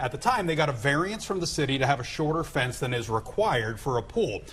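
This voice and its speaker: Speaking at a very fast pace, this voice swings very widely in pitch over noticeable background noise. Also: man. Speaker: TV morning show host. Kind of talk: TV news anchor talk.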